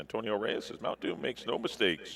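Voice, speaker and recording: A man's voice over noticeable background noise. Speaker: horse racing paddock analyst. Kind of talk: live race preview. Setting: racecourse paddock.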